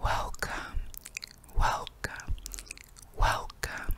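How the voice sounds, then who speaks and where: A woman whispers at a very slow pace. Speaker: ASMR creator. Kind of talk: ASMR whispering. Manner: whispered. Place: home room. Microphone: studio mic.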